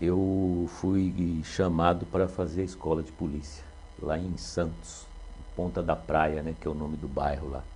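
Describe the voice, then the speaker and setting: A man speaks at a fairly slow pace, his very deep, low voice carrying ordinary pitch variation. Audible room echo is present. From São Paulo, Brazil. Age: 60s. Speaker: retired police officer, municipal security official. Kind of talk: interview. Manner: hesitant, with fillers.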